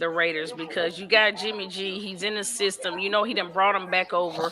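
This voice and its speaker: The speaker is a woman with a fairly quick delivery. Noticeable noise sits behind her. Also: medium pitch for a woman. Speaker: podcast host guest. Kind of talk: live sports talk panel. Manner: halting.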